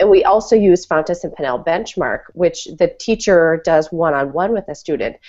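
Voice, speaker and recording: The intonation of this woman's voice is lively. She keeps a moderate pace. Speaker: school principal and podcast co-host. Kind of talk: casual chat. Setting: online call. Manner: animated.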